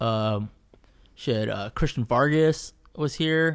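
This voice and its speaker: Against a quiet background, a man speaks with a Californian accent. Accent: Californian American English. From Southeast Fresno, California. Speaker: artist, painter. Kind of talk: casual chat.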